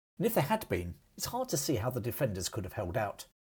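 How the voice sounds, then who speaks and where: A man with a British accent, dark and mellow in tone, with vocal fry, at a fairly quick pace, on a very clean recording with a silent background. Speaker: history podcaster. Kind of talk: history documentary narration, scripted storytelling. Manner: measured, steady narrator pace, clear and formal.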